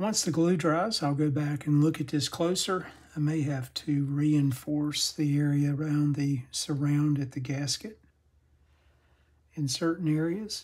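With a slightly husky edge, a man talks at a fairly high pitch and with fairly even intonation. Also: fairly slow pace.

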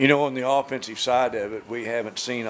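Against light background noise, a man talks with monotone, flat intonation. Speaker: color commentator. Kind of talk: sports commentary analysis. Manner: conversational, analytical.

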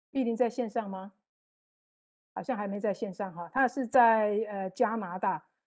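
A woman with a fairly high voice and ordinary pitch variation talks with long, frequent pauses against a quiet background. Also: fairly slow pace. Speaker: moderator. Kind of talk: panel moderation. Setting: video call. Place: home room. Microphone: earbuds.

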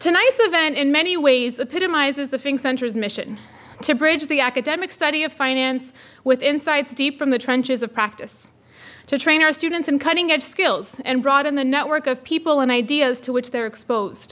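The tone is bright and sharp, with ordinary pitch variation. The pace is fairly quick. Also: woman, high pitch for a woman. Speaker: faculty director hosting event. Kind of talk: formal welcome speech. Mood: warm, enthusiastic. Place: hall. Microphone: podium.

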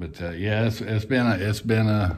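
A man talks while light background noise is present. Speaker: boat builder vlogger. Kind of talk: casual vlog chat. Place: workshop. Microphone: phone near.

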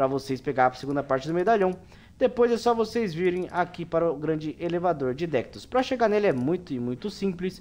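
Talking at a fairly quick pace, a man uses a high pitch and lively intonation. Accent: Brazilian. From Brazil. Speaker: gaming youtuber. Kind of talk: game tutorial with gameplay narration. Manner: casual, informal. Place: home room.

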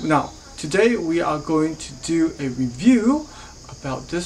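Very slowly, a woman speaks with very wide pitch swings over light background noise. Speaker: horticulturist reviewing garden gear. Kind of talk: product review vlog. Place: garage. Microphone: phone near.

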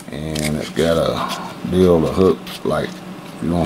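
A man keeps his intonation fairly even while background noise is clearly audible. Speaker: product reviewer. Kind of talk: product review tutorial. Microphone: phone near.

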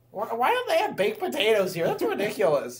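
The speaker uses a put-on character voice pitched fairly high. The delivery moves at a fairly quick pace. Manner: indignant, whiny.

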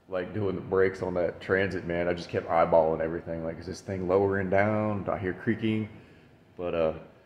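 A man's very deep, low voice delivers everything in a monotone, flat way. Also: fairly quick pace. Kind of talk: casual vlog chat. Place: garage. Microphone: phone near.

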